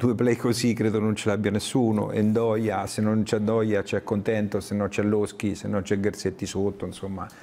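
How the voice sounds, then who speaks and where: The man's pitch is fairly low. His intonation is monotone and flat. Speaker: sports show host. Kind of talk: casual chat. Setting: studio. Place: studio. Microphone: lapel.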